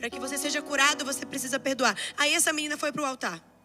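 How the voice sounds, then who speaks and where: Over music in the background, a woman uses a raised, projected voice with an animated tone. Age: 20s. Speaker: preacher. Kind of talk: sermon.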